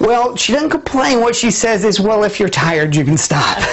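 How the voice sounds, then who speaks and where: A man with an American accent talks in a high voice with very wide pitch swings, over noticeable background noise. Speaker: TV show host. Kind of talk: local TV lifestyle show hosting. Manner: upbeat, playful.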